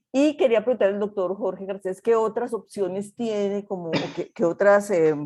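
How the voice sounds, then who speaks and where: This woman's voice has a dark, mellow tone and sits at a medium pitch. She keeps a moderate pace with ordinary pitch variation. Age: 60s. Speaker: participant in online health talk, recent spine surgery patient. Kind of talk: testimony. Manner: halting.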